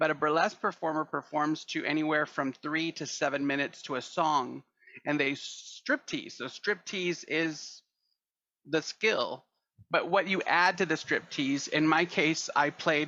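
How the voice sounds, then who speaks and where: A man with an American accent talks at a fairly slow pace in a fairly high pitch, his tone bright and sharp. His intonation stays fairly even against a quiet background. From Texas. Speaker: burlesque performer and actor. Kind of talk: casual interview chat.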